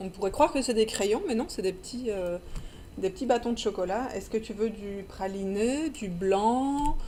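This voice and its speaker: Lively intonation marks this speech in a Belgian accent. The pace is fairly slow. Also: woman, fairly high pitch for a woman. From Belgium. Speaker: children's book publisher. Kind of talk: casual interview. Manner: halting, many repetitions.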